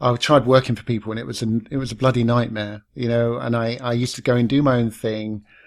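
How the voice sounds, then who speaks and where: A man's medium-pitched voice with a British accent and fairly even intonation, on a very clean recording with a silent background. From London. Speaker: podcast host. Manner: laid back.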